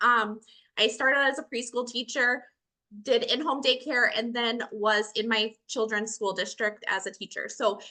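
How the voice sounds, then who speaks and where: A woman's fairly high, bright and sharp voice with a Minnesotan accent, at a moderate pace and with fairly even intonation. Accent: Minnesota. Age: 40s. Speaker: educator and online business owner. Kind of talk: testimony.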